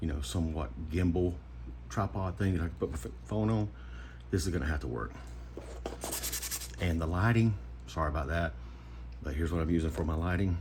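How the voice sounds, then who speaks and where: A quiet, whispering man at a fairly quick pace with long, frequent pauses, amid audible room echo and noticeable background noise. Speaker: knife modder / YouTuber. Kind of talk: casual tutorial. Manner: quiet, half-whispering; casual, chatty.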